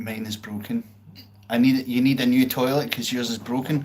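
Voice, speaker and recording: A medium-pitched man with a Glasgow accent, fairly even intonation, and audible room echo. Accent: Scottish (Glasgow). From Scotland, outskirts of Glasgow. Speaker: live-stream pianist. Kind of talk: casual chat. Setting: live stream.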